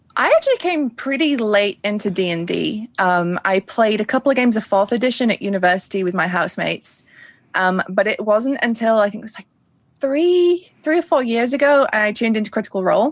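In a Yorkshire accent, a woman speaks fairly quickly with lively intonation at a fairly high pitch, recorded very cleanly against silence with a dry, close sound and no echo. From northern England. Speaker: tabletop streamer and illustrator. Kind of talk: interview.

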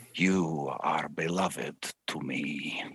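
A man puts on a character voice. It is raspy and very deep, low in pitch. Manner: soothing, reassuring.

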